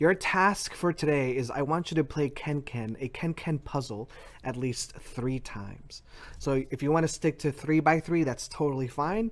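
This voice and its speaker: The pace here is moderate. It is a normal speaking voice, with ordinary pitch variation. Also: man, fairly high pitch for a man. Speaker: schoolteacher. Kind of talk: tutorial.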